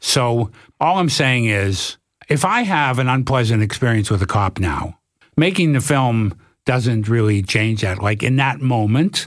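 A man speaks fairly slowly in a plain, everyday voice, with medium pitch, lively intonation and very even loudness. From Canada, Toronto. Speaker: documentary filmmaker. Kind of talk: casual interview.

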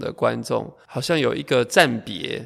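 A man speaks fairly slowly on a very clean recording with a silent background. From Taiwan, Taoyuan (Zhongli). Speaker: choreographer and dancer. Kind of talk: casual interview. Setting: artist's rehearsal space.

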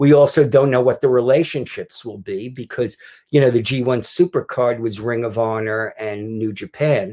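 With a dark, mellow tone and medium pitch, a man speaks at a moderate pace with ordinary pitch variation in a very clean recording with a silent background. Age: 60s. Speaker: author. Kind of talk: casual chat. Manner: halting.

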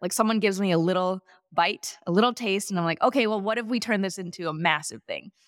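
A woman with an American accent speaks with lively intonation. The sound is dry and close, with no echo. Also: very clean recording, silent background. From US Midwest (Wisconsin, Chicago suburbs). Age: 30s. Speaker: former gymnast and entrepreneur. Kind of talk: interview.

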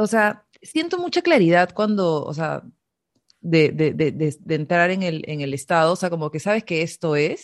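A woman's plain, everyday voice, fairly low in pitch, at a fairly slow pace with ordinary pitch variation. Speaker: podcast host. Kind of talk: interview conversation.

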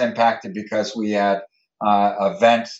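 A man with an American accent and a normal speaking voice. His pitch sits fairly low, and he keeps a moderate pace. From Connecticut, New Haven. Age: 50s. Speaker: hospital system executive. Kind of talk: interview.

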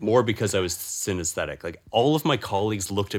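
This is a normal speaking voice at a fairly quick pace. Its pitch variation is ordinary. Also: man. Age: 20s. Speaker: musician. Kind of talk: casual chat.

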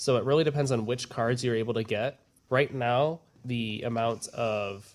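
A man at a medium pitch speaks in an unremarkable speaking voice with fairly even intonation. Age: young. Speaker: college student. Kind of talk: casual chat.

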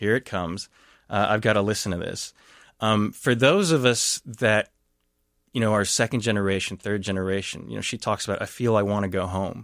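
A man with an American accent has an ordinary speaking voice, pitched fairly low with fairly even intonation. The very clean recording has a silent background and a dry, close sound with no echo. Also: fairly quick pace. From Texas. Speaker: anthropologist and professor. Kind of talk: radio interview, analysis.

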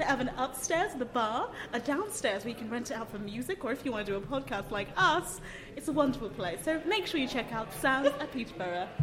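A woman's high voice with very wide pitch swings, a fairly quick pace, and noticeable background noise. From abroad, a country that had a coup. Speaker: podcaster. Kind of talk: casual chat. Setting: recorded live in a cafe venue.

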